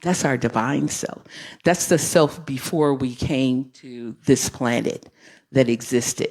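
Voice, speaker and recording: Very deep and low in pitch, a woman speaks at a fairly slow pace with ordinary pitch variation. The recording is very clean, with a silent background. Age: 60s. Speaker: guest speaker at church. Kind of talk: sermon-style talk.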